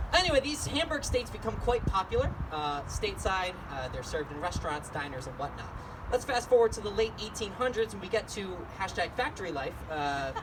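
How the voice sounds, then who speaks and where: Over noticeable background noise and audible room echo, a man speaks very fast at a high pitch with very wide pitch swings. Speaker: solo stage performer. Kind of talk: one-man comedy show with songs. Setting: stage with audience. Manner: rambling.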